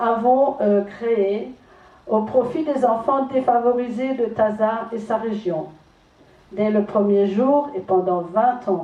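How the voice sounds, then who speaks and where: With an Alsatian accent, a woman talks very slowly at a fairly high pitch and ordinary pitch variation. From Alsace, France. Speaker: charity association president. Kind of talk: prepared tribute speech.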